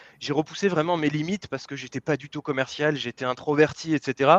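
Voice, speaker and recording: Talking at a very fast pace, a man with a fairly high pitch is heard in a dry, close sound with no echo. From France. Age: 30s. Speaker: business coach. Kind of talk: interview. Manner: halting, many fillers.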